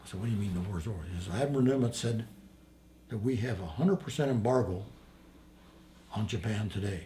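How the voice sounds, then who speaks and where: Against audible room echo, a man with a somewhat breathy, dark, mellow tone and fairly low pitch talks at a very fast pace with lively intonation, broken by long, frequent pauses. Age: 80s+. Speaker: war veteran. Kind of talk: interview storytelling.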